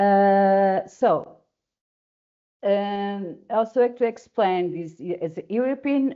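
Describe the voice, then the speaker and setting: Her pitch rises and falls in an ordinary way. The woman's voice sits at a medium pitch. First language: Portuguese. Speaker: webinar moderator. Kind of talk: webinar introduction. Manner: halting.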